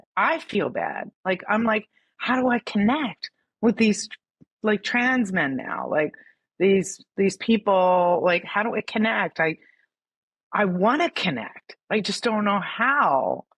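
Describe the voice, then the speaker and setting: A woman with an American accent talks at a very slow pace, her intonation lively, with vocal fry. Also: medium pitch for a woman. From US Northeast, Philadelphia. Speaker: writer and filmmaker. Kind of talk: podcast interview. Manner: halting.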